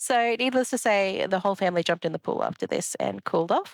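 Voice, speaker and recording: The voice, with an Australian accent, has a dry, close sound with no echo. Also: woman. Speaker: rock collecting vlogger. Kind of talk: casual vlog chat. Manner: relaxed, with fillers.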